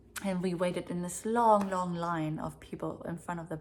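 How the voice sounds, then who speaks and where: A woman speaks with a German accent at a moderate pace. Her pitch is fairly low and her intonation fairly even. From East Berlin, Germany. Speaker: vlogger. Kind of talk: personal storytelling. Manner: hesitant, filler-heavy.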